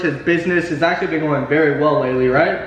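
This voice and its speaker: Over noticeable background noise and audible room echo, a man speaks with fairly even intonation. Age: 20s. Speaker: YouTube host, forex trader. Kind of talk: casual interview. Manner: casual, filler-heavy.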